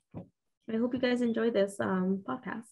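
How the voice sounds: Speaking fairly slowly with a Mexican accent, a woman has a fairly high pitch, fairly even intonation, vocal fry and a dark, mellow tone.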